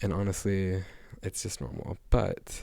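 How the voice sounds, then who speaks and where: A man is whispering. His delivery is soft-spoken. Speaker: vlogger. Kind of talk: casual chat. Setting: living room at home. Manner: soft-spoken, near whisper.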